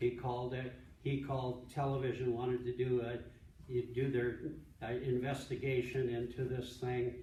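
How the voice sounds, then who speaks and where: Medium-pitched male speech at a moderate speed, echoing audibly in the room. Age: 70s. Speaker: pastor and ministry director. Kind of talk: conference talk. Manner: halting, many repeated words and false starts.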